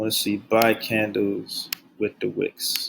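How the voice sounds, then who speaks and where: A man speaks at a very slow pace. He is soft-spoken. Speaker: trading educator. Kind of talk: tutorial. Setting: at workplace. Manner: monotone. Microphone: quiet, turn volume up.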